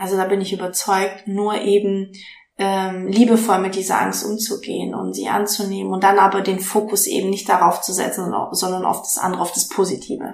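A woman talks at a moderate pace and a medium pitch. Audible room echo and noticeable background noise fill the recording. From Stuttgart, Swabia. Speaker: life coach and podcaster. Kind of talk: casual interview. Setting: in host's kitchen.

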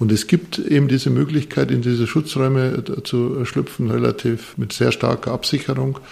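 Over noticeable background noise, a man speaks at a medium pitch. His pace is fairly slow and his pitch varies in an ordinary way. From Bavarian Forest, Bavaria. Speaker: architect and professor. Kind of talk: interview. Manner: hesitant, many fillers and repetitions.

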